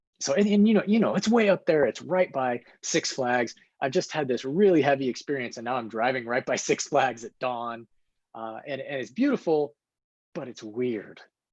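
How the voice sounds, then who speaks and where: A man in a plain, everyday voice, moderate pace, medium pitch and lively intonation. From Colorado, US. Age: 40s. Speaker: author. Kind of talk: podcast interview.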